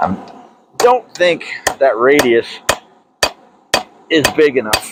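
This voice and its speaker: This is a man speaking with a fairly high pitch. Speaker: hobby blacksmith and video creator. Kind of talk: unscripted tutorial narration while working. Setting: outdoors in backyard under a shelter. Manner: halting, stuttering; casual, conversational.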